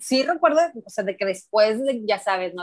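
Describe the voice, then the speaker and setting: Recorded with dry, close sound and no echo, a woman speaks at a fairly high pitch. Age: 40s. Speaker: football fan. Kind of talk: casual chat.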